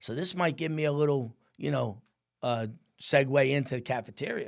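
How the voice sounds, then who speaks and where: Speaking with a New Jersey accent, a man moves at a fairly quick pace. His pitch is fairly high, and the recording is very clean with a silent background. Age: 60s. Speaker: firefighter and business owner. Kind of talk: podcast interview storytelling. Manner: animated.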